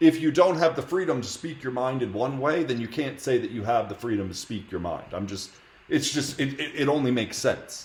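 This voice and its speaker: A plain, everyday voice from a man with an American accent, medium in pitch, with lively intonation at a fairly quick pace. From United States. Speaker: streamer debating strangers in video chat. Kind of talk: heated debate. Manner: argumentative, interrupting.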